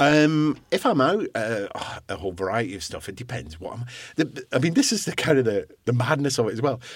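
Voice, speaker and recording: A man with a Scottish accent, medium pitch, very wide pitch swings, and a fairly quick pace. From Scottish island. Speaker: guest sharing recovery from alcohol abuse. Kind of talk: interview about personal story.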